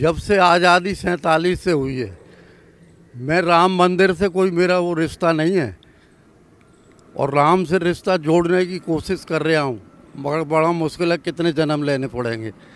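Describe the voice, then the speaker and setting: The man talks high in his range, and his pitch moves in an ordinary way. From Haryana. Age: 80s+. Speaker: retired government official. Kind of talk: street interview. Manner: halting.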